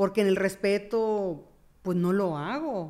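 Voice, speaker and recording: A woman of medium pitch has a dark, mellow tone and ordinary pitch variation. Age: 50s. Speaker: therapist. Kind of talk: casual chat.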